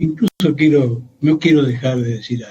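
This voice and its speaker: This man's voice is fairly high in pitch, with a dark, mellow tone and a somewhat breathy quality. He speaks at a very slow pace. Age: 70s. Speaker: historian. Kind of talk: radio interview.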